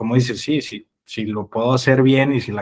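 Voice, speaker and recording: This man talks at a moderate pace with flat, monotone intonation. The sound is dry and close, with no echo. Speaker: crypto investor. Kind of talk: podcast interview.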